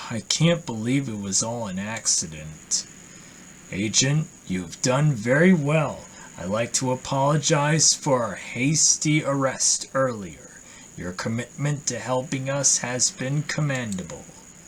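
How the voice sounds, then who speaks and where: Against clear background noise, a put-on character voice sits at a low-to-middle pitch and moves at a fairly slow pace. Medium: game stream. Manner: formal, brisk.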